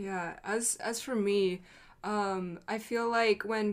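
In a very clean recording with a silent background, a woman speaks in a plain, everyday voice at a medium pitch with fairly even intonation. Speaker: YouTuber and reactor. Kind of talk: casual roundtable discussion.

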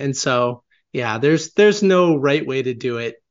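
Heard at a moderate pace, this is a plain, everyday voice. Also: man. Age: 20s. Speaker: author and marketing agency founder. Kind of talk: interview.

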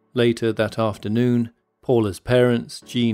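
A serious-toned man at medium pitch and moderate pace, with music in the background. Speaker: podcast host. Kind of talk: dramatic scripted narration of a true mystery story. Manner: hushed, suspenseful, measured storytelling pace; serious, grave, building tension.

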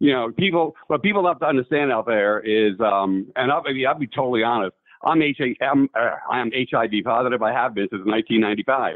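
An American-accented man with an unremarkable speaking voice talks at a fairly quick pace, at medium pitch with ordinary pitch variation. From New York. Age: 60s.

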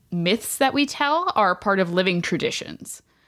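A woman with an unremarkable speaking voice, medium in pitch, at a moderate pace. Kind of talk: casual interview chat.

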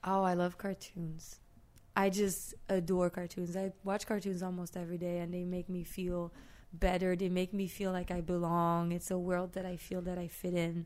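A woman with a French accent speaks in a monotone, flat intonation. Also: fairly low pitch for a woman, moderate pace. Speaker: street artist. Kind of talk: casual chat. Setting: studio.

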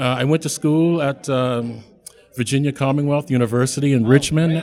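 Delivered at a moderate pace, a normal speaking voice keeps a fairly even intonation. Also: man. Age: 60s. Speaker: performance artist. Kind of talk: interview at live event. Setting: stage with audience.

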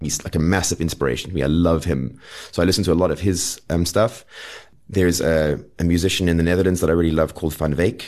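Speaking very fast, a man uses a very deep, low voice with vocal fry and fairly even intonation. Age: 40s. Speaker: folk singer-songwriter. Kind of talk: casual chat.

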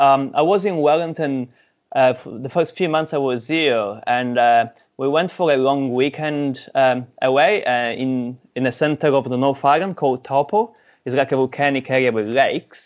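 A man speaks with an Italian accent at a moderate pace. His fairly high voice shows ordinary pitch variation. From Sicily, Italy. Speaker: mountain biker and charity fundraiser. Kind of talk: casual interview chat.

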